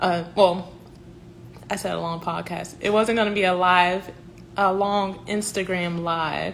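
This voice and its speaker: A woman speaks with a Southern US accent at a medium pitch, her intonation flat and monotone. She talks at a fairly slow pace, and the room echo is audible. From South Carolina (Columbia). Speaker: professional organizer. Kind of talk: livestream announcement. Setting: Instagram live stream.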